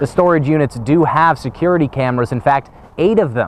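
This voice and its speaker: A man's voice with noticeable background noise. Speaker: TV news reporter. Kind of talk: on-scene news report at storm damage. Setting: outdoors.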